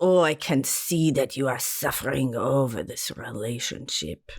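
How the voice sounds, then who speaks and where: Put-on character voice in a Romanian accent, pitched low-to-middle. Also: moderate pace. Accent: Romanian, self-described as bad. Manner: mystical, dramatic.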